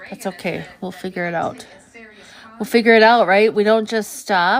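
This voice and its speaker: Soft-spoken and at a moderate pace, a woman with a medium pitch talks with fairly even intonation and big swings in loudness. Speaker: artist streaming live painting. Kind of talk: live stream art tutorial chat. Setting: live stream.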